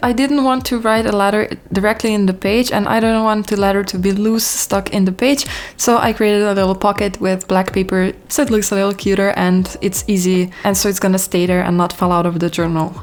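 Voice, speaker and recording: With a non-native accent, a woman of medium pitch talks at a fairly quick pace, her intonation fairly even and her loudness very even. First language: not English. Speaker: lifestyle YouTuber. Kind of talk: scripted voiceover tutorial.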